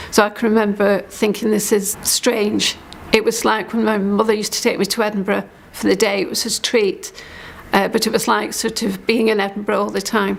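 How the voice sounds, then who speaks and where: Over noticeable background noise, a woman talks at a moderate pace and medium pitch, her intonation monotone and flat. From Scotland, St Andrews, Fife. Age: 60s. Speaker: storyteller sharing life story. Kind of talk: personal testimony. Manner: hesitant, many fillers.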